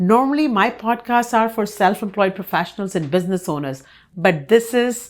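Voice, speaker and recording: At a moderate pace, a woman talks in a fairly high voice on a very clean recording with a silent background. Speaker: podcast host. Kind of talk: podcast interview host talk.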